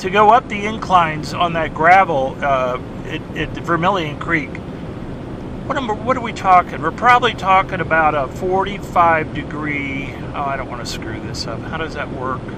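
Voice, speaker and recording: Amid audible room echo and noticeable background noise, a man talks at a moderate pace and high pitch, his intonation lively and his loudness swinging widely. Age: 60s. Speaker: treasure hunter vlogger. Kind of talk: casual vlog monologue. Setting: in a car. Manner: halting, self-correcting.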